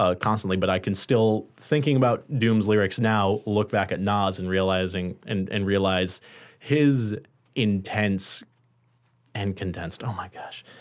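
A man has an ordinary speaking voice at a fairly low pitch. He talks at a fairly slow pace with fairly even intonation. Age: 20s. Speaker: college radio podcast host. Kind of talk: casual chat. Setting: studio.

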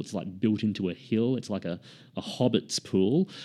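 Behind the speech, the background is quiet. A man's tone comes across dark and mellow. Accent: Australian. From Queensland, Australia (Sunshine Coast). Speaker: author and screenwriter. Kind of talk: casual interview chat.

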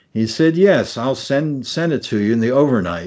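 At a moderate pace, a normal speaking voice comes through with ordinary pitch variation. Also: man. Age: 60s. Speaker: retired architect and theme park executive. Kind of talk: interview.

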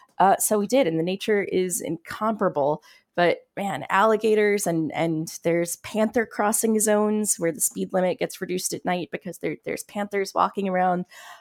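A woman with an American accent at medium pitch and moderate pace, with ordinary pitch variation and hardly any pauses, in a dry, close sound with no echo on a very clean recording with a silent background. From South Florida. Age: 30s. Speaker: software engineer and open data specialist. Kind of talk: podcast interview. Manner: animated.

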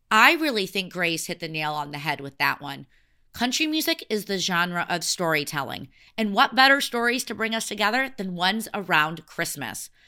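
A woman with an American accent, a bright, sharp tone, a medium pitch and very wide pitch swings. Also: moderate pace, very clean recording, silent background. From US Midwest. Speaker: podcast host. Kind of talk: scripted narration.

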